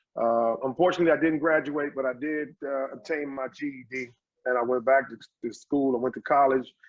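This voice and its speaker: A man speaks at a fairly quick pace with a fairly high pitch. His intonation stays fairly even. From Washington, D.C. (Southeast and Northeast). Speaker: social psychologist and community business owner. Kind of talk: podcast interview. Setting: in his store.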